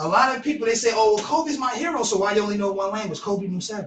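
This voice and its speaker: A man speaks loud and at a very fast pace, his high voice carrying lively intonation. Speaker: podcast co-host. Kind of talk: casual discussion.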